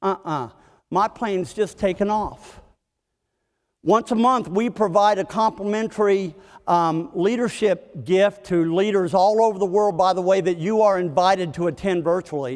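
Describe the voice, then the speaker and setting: With an American accent, a man speaks in a high voice with ordinary pitch variation. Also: moderate pace. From West Virginia. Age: 60s. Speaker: leadership speaker. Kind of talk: keynote talk. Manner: animated.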